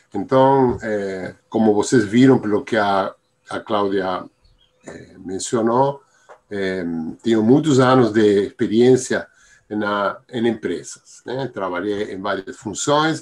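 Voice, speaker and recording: Speaking at a very slow pace in a Spanish accent, a man with a medium pitch shows ordinary pitch variation and big swings in loudness. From Argentina. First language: Spanish (speaking Portuguese). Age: 70s. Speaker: Biodanza teacher. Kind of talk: interview. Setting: live stream. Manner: halting.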